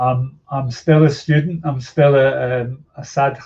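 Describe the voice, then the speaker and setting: The voice carries a Scottish accent and is somewhat breathy. Its intonation stays monotone and flat. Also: man. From Scotland. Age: 60s. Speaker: yoga teacher and activist. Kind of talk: podcast interview.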